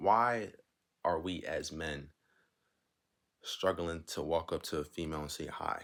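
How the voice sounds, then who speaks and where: On a very clean recording with a silent background, a man with a very deep, low pitch speaks quietly at a fairly slow pace, with ordinary pitch variation and long, frequent pauses. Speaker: advice vlogger. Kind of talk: casual monologue.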